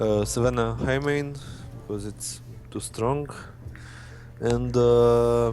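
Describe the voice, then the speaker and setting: Over music in the background and audible room echo, a man speaks at a very slow pace with long, frequent pauses. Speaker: student player being coached. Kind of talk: coaching session over gameplay.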